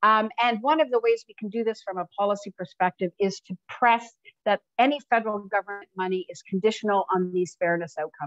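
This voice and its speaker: A woman is talking. The pitch varies in an ordinary way. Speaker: researcher presenting findings. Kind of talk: webinar presentation. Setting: online webinar. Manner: hesitant, many fillers.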